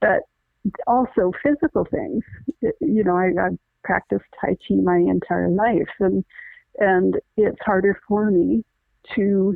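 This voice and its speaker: A woman at a fairly slow pace, with long, frequent pauses and very even loudness. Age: 60s. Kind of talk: casual chat. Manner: halting.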